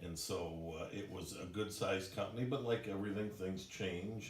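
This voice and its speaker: Over noticeable background noise and audible room echo, a man with a very deep, low voice speaks at a moderate pace with ordinary pitch variation. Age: 60s. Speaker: company president. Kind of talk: employee orientation presentation. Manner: casual, conversational with fillers.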